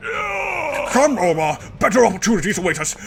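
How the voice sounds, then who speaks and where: Putting on a character voice, a man speaks in a high pitch at a moderate pace over clear background noise. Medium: game stream. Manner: pompous, flustered.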